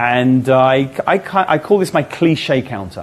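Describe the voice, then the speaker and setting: With an English accent, the speaker talks using lively intonation. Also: man. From England. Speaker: magician. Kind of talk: interview. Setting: live online event.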